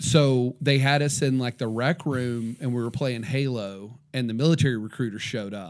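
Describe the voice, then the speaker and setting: Medium-pitched male speech at a moderate pace with hardly any pauses. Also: ordinary pitch variation, very clean recording, silent background. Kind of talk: casual chat. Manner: animated.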